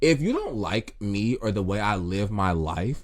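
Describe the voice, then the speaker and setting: Loud and animated, a man speaks with very wide pitch swings. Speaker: podcast host. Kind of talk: casual monologue.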